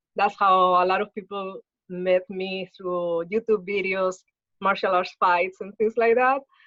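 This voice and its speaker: The speaker is a woman with a Spanish accent. She talks at medium pitch and a fairly slow pace. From Spain. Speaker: spiritual healer and martial artist. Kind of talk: interview.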